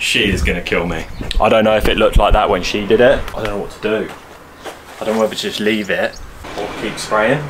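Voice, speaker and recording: Speaking very fast, a man swings widely in loudness. Background noise is noticeable. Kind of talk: casual vlog chat. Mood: self-doubting, joking. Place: workshop. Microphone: camera far.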